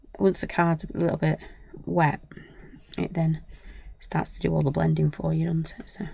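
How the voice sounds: A woman with a low, croaky voice speaks in a dark, mellow tone with vocal fry and little pitch movement. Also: moderate pace.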